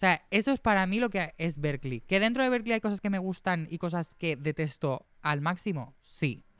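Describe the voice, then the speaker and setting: Speaking at a moderate pace with lively intonation and hardly any pauses, a man with a high-pitched voice comes through on a very clean recording with a silent background. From Spain, Torrent (Valencia). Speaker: musician and producer. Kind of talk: casual chat.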